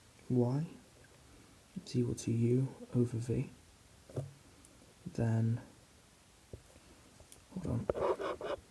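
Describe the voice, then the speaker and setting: Whispering and soft-spoken, a man talks at a very slow pace with long, frequent pauses. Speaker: maths student doing ASMR. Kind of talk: ASMR whispered maths tutorial. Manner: soft-spoken, whispering.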